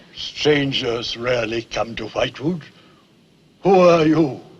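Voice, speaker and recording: Using a put-on character voice, a man speaks in a solemn tone. His pitch is fairly high and his pace fairly slow. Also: ordinary pitch variation. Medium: short film. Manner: solemn, grave.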